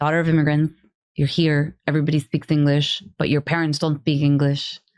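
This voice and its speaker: Her voice sits at a very deep, low pitch for a woman, with monotone, flat intonation and very even loudness throughout. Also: fairly quick pace. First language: Spanish. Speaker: business leader, advisory board member. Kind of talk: casual interview chat.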